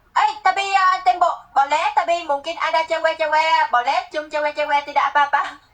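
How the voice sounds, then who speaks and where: At an extremely high pitch, a woman talks at a moderate pace with ordinary pitch variation and hardly any pauses. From Vietnam. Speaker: live streamer. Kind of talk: casual chat. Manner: halting.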